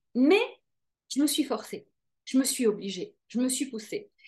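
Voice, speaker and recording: The voice belongs to a woman. Her intonation is lively. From Belgium, Brussels. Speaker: TV presenter and life coach. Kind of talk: interview.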